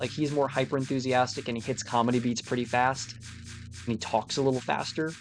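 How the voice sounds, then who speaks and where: Music in the background behind a man at a medium pitch, fairly quick, with ordinary pitch variation. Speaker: gaming streamer. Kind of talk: casual chat. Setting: live stream.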